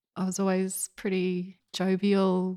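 In a dry, close sound with no echo and a very clean recording with a silent background, a woman speaks at a medium pitch in an Australian accent. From Australia, rural New South Wales. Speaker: war veteran. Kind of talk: interview. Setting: at home.

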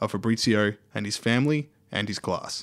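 An Australian-accented man with ordinary pitch variation, on a very clean recording with a silent background. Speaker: podcast moderator. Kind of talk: scripted narration.

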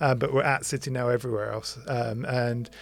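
The voice has an English accent and fairly even intonation. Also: man. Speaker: podcast host. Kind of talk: casual chat.

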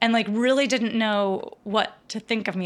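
A woman speaks in an American accent at a moderate pace, her pitch fairly high with ordinary variation. She has an ordinary speaking voice. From rural Virginia, US South. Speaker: musician. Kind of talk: casual chat. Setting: video call.

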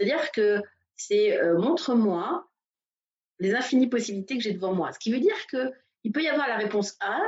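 A woman talks at a moderate pace in a fairly high pitch. Her voice is somewhat breathy. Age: 40s. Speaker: massage therapist and coach. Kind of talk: interview. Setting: Facebook Live video call. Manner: halting.

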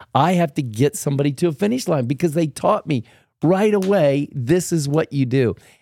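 In a very clean recording with a silent background, a man speaks at a moderate pace. His fairly high voice has a dark, mellow tone and lively intonation. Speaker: pastor. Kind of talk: casual chat.

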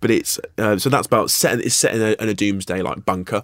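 The recording is very clean and the background silent. The speaker is a man. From Guernsey, Channel Islands. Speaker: actor and writer. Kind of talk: casual interview. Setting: studio. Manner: hesitant, many fillers.

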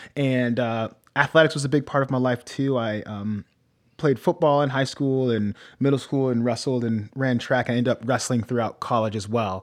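Here is a man with an ordinary speaking voice and an American accent. He uses a medium pitch, fairly even intonation and a moderate pace. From US Midwest, Norwalk, Ohio. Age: 20s. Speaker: pastor and podcast host. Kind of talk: casual chat.

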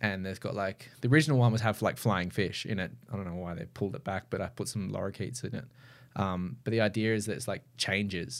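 A man's very fast speech in an Australian accent, fairly low in pitch with ordinary pitch variation. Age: 30s. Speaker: mural artist. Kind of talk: casual chat.

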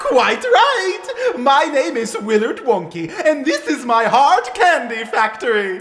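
The speech moves at a fairly slow pace with clear background noise behind it. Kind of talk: comic overacting. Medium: audio drama. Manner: showman, theatrical, dramatic pauses.

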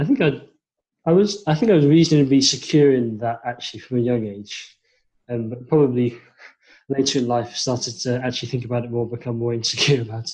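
Somewhat breathy and at medium pitch, a man talks at a fairly quick pace with big swings in loudness. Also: ordinary pitch variation. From born in China, raised in England and Thailand. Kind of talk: casual interview.

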